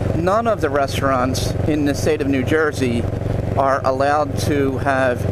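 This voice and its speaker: Loud background noise sits behind a dry sound with no echo. The pitch varies in an ordinary way at a fairly slow pace. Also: man. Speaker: local guide. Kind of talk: casual vlog commentary. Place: motorbike. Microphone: helmet.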